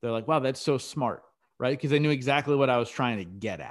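With an unremarkable speaking voice of medium pitch, a man talks at a fairly quick pace on a very clean recording with a silent background. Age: 30s. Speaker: podcast host appearing as guest. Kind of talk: interview.

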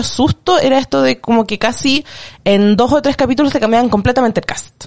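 Her pitch high and varying in an ordinary way, a woman speaks at a moderate pace. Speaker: podcast guest, film fan. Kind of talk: casual chat.

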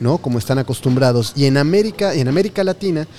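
Lively intonation carries this fairly quick speech over noticeable background noise. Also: man. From Mexico. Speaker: podcast host. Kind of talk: interview. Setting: on location with guests.

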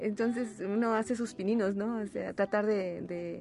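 A woman speaks in an ordinary speaking voice, her pitch medium and her pace moderate. Her intonation stays fairly even. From Huasteca region, San Luis Potosí, Mexico. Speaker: singer-songwriter and retired teacher. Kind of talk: radio interview. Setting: radio studio.

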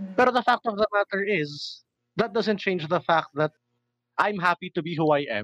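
Lively intonation runs through a man's speech at a moderate pace. The sound is dry and close with no echo, over a quiet background. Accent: Filipino. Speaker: guest. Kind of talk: casual chat, nerdy banter.

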